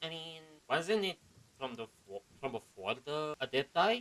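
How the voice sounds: A man speaks at a fairly slow pace in a fairly high pitch, with big pitch swings and a fairly bright tone.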